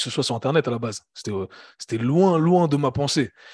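The sound is dry and close with no echo, over a quiet background. A man speaks at a very fast pace. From Switzerland, Geneva. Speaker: fitness coach and entrepreneur. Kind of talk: casual interview conversation. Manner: halting, many repetitions.

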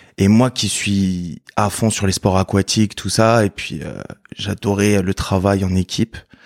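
A man speaks at a very slow pace, his fairly low voice keeping fairly even intonation. The sound is dry and close with no echo, a very clean recording with a silent background. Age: 20s. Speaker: former navy serviceman, supermarket worker. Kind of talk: testimony interview.

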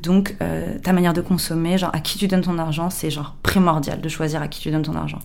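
A woman with a fairly low pitch speaks at a fairly quick pace in a monotone, flat intonation, with audible room echo. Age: 30s. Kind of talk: interview.

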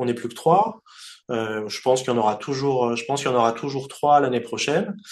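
At a fairly quick pace, a man with a medium pitch speaks with ordinary pitch variation. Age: 40s. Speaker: sports event promoter. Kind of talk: interview. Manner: halting, frequent repetitions.

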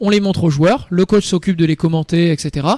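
The pace is very fast. Pitch moves up and down in an ordinary way. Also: man. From northern France, near Lille. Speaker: youth football coach. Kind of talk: radio interview. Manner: hesitant, with fillers.

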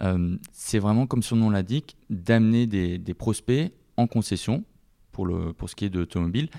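A man talks with a fairly low pitch and ordinary pitch variation. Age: 20s. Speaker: digital marketing manager. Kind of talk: interview. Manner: hesitant, many fillers.

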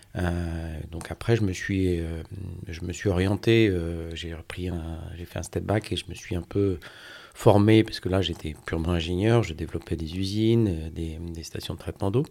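The man's pitch is very deep and low, with a dark, mellow tone and fairly even intonation. He speaks at a fairly slow pace in a very clean recording with a silent background. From Brittany, Brest. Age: 50s. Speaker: finance director. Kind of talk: interview testimony. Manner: halting.

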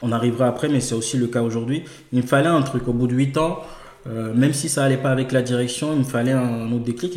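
A man speaks at a medium pitch and a moderate pace. Noticeable background noise runs behind him. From Togo. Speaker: entrepreneur. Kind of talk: interview.

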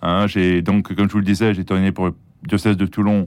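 A man's very deep, low pitch at a fairly quick pace, in a very clean recording with a silent background. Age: 60s. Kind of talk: interview. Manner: halting.

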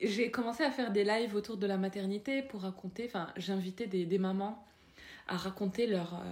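Moderately paced speech from a woman, intonation fairly even. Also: medium pitch for a woman. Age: 30s. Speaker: parenting influencer. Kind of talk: casual interview. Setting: home. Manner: halting.

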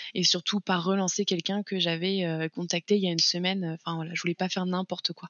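A woman with a medium-pitched voice rattles along very fast in a monotone, flat intonation. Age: 20s. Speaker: content creator, former childcare worker. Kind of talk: interview podcast.

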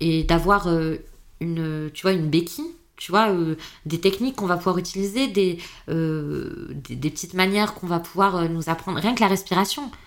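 Fairly quick speech from a woman at a medium pitch, with ordinary pitch variation. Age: 30s. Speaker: patient advocate. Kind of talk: casual chat. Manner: animated.

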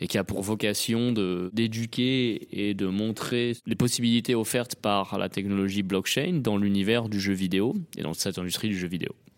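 A man speaks in an ordinary speaking voice, fairly low in pitch. His intonation stays fairly even at a fairly slow pace. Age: 30s. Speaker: tech entrepreneur. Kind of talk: interview. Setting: at a conference.

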